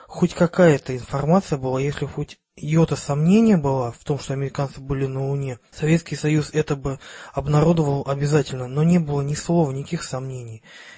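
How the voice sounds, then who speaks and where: A man speaks at a fairly high pitch and a fairly quick pace. His intonation stays fairly even. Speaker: podcast co-host. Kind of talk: casual chat.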